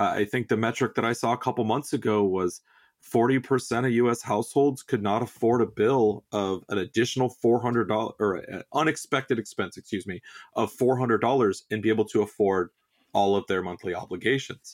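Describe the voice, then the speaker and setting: A man with an American accent and a normal speaking voice talks at a fairly quick pace with ordinary pitch variation. The recording is very clean with a silent background, dry and close with no echo. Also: medium pitch for a man. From Southern California. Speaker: auto repair business trainer. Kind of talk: podcast interview.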